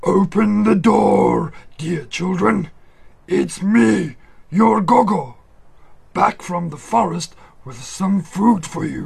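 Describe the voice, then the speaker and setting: In a raspy, high put-on character voice, a man speaks very slowly with long, frequent pauses. His intonation is lively, and his loudness swings widely. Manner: deceptively sweet.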